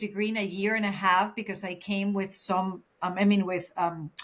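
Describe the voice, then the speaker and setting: This woman talks at a moderate pace, her pitch sitting in the medium range. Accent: Venezuelan. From Venezuela, Caracas. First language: Spanish. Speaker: counselor. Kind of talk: casual chat.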